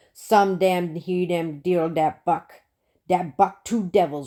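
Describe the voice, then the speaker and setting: A woman's put-on character voice, pitched fairly low. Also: fairly slow pace. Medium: read story. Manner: emphatic, profane, rough.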